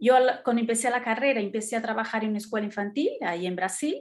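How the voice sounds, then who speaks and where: This woman speaks with a Brazilian accent. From Brazil, São Paulo. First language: Portuguese (speaking Spanish). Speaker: art educator. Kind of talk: talk in online meeting. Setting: video call.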